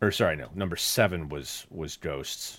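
A man with a very deep, low pitch and vocal fry is heard in a very clean recording with a silent background. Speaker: podcast co-host. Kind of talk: casual podcast chat.

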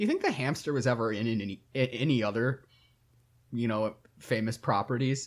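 Speaking at a fairly quick pace, a man has an unremarkable speaking voice with an American accent. His pitch is medium and his intonation fairly even. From Michigan, US Midwest. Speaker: podcast co-host. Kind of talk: casual chat.

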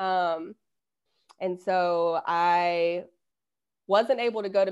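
Over a quiet background, a speaker with a Southern US accent talks with fairly even intonation. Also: woman. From US South. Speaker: intuitive coach and hypnotherapist. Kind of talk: casual interview.

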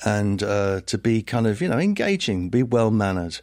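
On a very clean recording with a silent background, a man with a southern English accent talks at a moderate pace, his fairly low voice showing ordinary pitch variation. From southern England, Hertfordshire (Liverpool family). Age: 60s. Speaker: philosopher and professor. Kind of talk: interview conversation.

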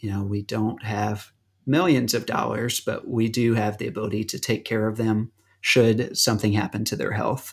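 A man with an American accent talks at a moderate pace and medium pitch in an unremarkable speaking voice. The recording is very clean, with a silent background. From US South. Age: 30s. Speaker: disaster relief worker. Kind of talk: casual chat.

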